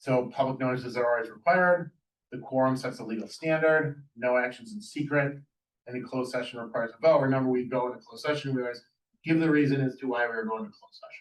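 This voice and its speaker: A man speaks at a very fast pace with a medium pitch. His loudness swings widely, and his pitch varies in an ordinary way. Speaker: municipal attorney giving board training. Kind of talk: presentation to a village board.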